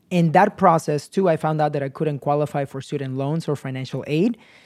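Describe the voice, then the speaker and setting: Recorded very cleanly over a silent background, a man talks at a fairly quick pace. He has a plain, everyday voice, fairly high in pitch, with ordinary pitch variation. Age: 30s. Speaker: real estate agent and investor. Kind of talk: interview.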